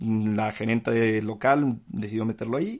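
Speaking at a fairly slow pace, a man has a plain, everyday voice at medium pitch with ordinary pitch variation. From Mexico, San Luis Potosí and Mexico City. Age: 20s. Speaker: podcast host, business student. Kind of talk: solo podcast monologue. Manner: casual, many fillers.

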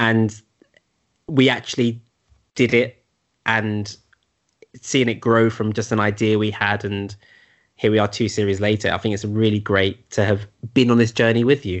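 The delivery is monotone and flat at a moderate pace, with long, frequent pauses. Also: man, fairly low pitch for a man. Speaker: podcast host. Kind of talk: casual chat.

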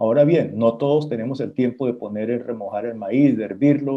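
A man speaks at a medium pitch in a dark, mellow tone. His pitch moves an ordinary amount. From Colombia, Santa Marta. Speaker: chef. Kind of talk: interview on radio show.

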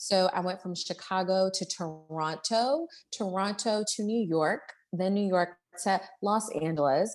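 A woman with an American accent talks at a fairly slow pace, her pitch medium and its variation ordinary. She has an ordinary speaking voice. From Baltimore, Maryland. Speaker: entrepreneur and life coach. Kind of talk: casual interview chat.

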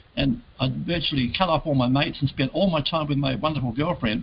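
With an Australian accent, a man speaks very fast in a fairly high, somewhat breathy voice. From Adelaide, South Australia. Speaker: entrepreneur. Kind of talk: interview. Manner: casual.

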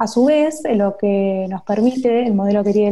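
The voice has a dark, mellow tone and an Argentine accent. It moves at a moderate pace with fairly even intonation. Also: woman. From Argentina, Buenos Aires. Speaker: UX designer. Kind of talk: interview. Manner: hesitant, frequent fillers.

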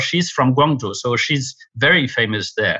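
Against a quiet background, a man speaks at a moderate pace and medium pitch, his tone bright and sharp and his intonation fairly even. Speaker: badminton journalist and charity founder. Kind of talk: interview. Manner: hesitant with fillers.

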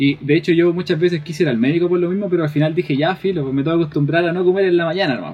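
Over noticeable background noise, a man with a high pitch talks at a very fast pace with fairly even intonation and hardly any pauses. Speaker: podcast co-host. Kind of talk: casual chat.

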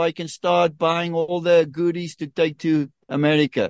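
A man with a high pitch is heard in a dry, close sound with no echo against a quiet background. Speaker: tennis team captain and coach. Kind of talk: radio-style interview.

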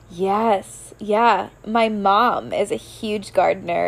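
Fairly high pitch from a woman, with noticeable background noise behind her. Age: 30s. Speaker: podcast host and coach. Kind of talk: casual interview chat.

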